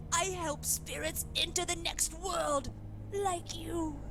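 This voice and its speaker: A put-on character voice at a fairly slow pace over loud background noise. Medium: video game. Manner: flat, insistent.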